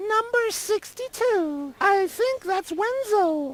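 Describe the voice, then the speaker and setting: A woman puts on a squeaky character voice at an extremely high pitch. She speaks at a very slow pace with lively intonation. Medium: video game. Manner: curt, officious.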